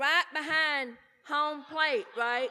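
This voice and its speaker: A woman with an American accent speaks in a high, raised and projected voice. Her pace is very slow. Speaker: recovery speaker. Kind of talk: speaker talk at a conference. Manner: loud; animated.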